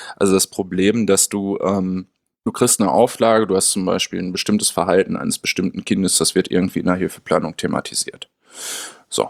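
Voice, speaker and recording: A man at a moderate pace, recorded in a dry, close sound with no echo. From Münster, Germany. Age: 30s. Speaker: special education researcher. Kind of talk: interview conversation.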